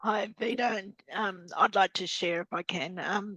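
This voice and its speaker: In an Australian accent, a woman talks with fairly even intonation. The sound is dry and close, with no echo. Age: 50s. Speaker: business community member. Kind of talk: online group discussion. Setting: video call.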